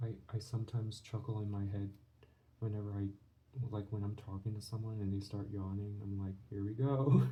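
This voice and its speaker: Against noticeable background noise, a man speaks fairly quickly with a fairly low pitch and fairly even intonation. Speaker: art channel creator. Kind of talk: drawing tutorial commentary. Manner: soft-spoken; halting.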